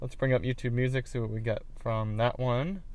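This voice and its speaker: A man with a normal speaking voice talks at a fairly quick pace with ordinary pitch variation. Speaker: car audio reviewer. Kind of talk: product review demo. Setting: in a car.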